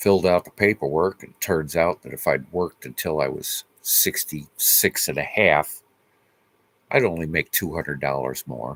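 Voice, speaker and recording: Very deep and low, a man's voice with vocal fry moves at a moderate pace with big swings in loudness, the sound dry and close with no echo. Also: ordinary pitch variation. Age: 60s. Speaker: homesteader vlogger. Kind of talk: casual vlog update. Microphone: laptop camera mic.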